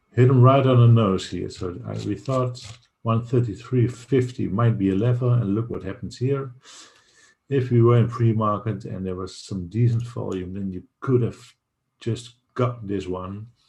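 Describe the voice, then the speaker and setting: Somewhat breathy and dark, mellow in tone, a man speaks at a moderate pace. His intonation stays fairly even. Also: medium pitch for a man, big swings in loudness. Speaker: day trading streamer. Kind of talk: market update livestream.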